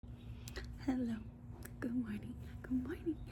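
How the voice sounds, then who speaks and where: A woman is talking. Her voice is quiet. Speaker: book vlogger. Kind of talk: casual vlog chat. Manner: quiet, low volume.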